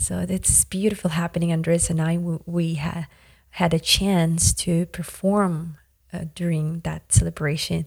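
A woman's somewhat breathy, fairly low voice, monotone and flat, at a fairly slow pace. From Yakutia, Siberia, Russia. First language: Yakut. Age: 30s. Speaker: musician. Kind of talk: interview conversation. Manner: halting, many fillers.

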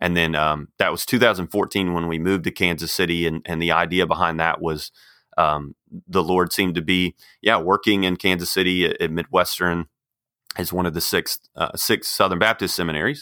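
A man with an American accent and a very deep, low pitch speaks in a bright, sharp tone with fairly even intonation, on a very clean recording with a silent background and a dry, close sound with no echo. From Texas. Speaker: seminary dean and author. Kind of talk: casual interview. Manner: halting, many fillers.

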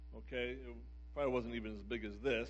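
Audible room echo surrounds the voice. A man is talking with an American accent. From US Northeast, Philadelphia area. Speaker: pastor. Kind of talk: sermon. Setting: church service with live audience.

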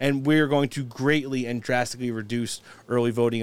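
A man at medium pitch, fairly quick pace, and fairly even intonation. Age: 40s. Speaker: podcast host. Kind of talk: casual chat. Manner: halting.

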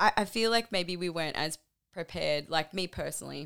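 A woman with an Australian accent, a bright, sharp tone and lively intonation, at a moderate pace, in a very clean recording with a silent background. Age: 30s. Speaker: metal band lead singer. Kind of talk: casual interview chat.

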